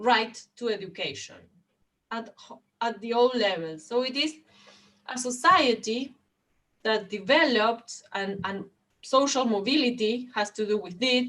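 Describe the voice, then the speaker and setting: A woman with a Spanish accent speaks at a fairly slow pace in a fairly high pitch, her tone bright and sharp and her speech marked by long, frequent pauses. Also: ordinary pitch variation. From Argentina. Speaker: education policy expert. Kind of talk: panel discussion. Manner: halting.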